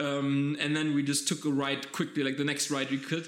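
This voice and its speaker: Speaking at a fairly quick pace, a man uses a fairly high pitch. His intonation stays monotone and flat. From German-speaking Europe. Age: 20s. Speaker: podcast host. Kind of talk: casual chat.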